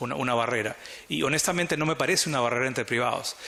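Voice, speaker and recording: Noticeable background noise is present throughout. The talking goes by at a very fast pace. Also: man. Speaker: arbitration lawyer, conference panelist. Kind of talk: conference talk.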